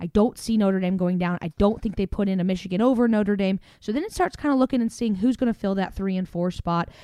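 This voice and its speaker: Speaking very fast with a Southern US accent, a woman has a medium pitch, ordinary pitch variation and a dark, mellow tone. The sound is dry and close, with no echo. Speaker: podcast host. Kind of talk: casual sports recap chat.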